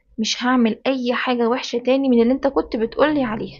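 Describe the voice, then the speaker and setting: A woman with an Egyptian accent and a high pitch. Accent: Egyptian colloquial Arabic. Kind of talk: children's bedtime story narration.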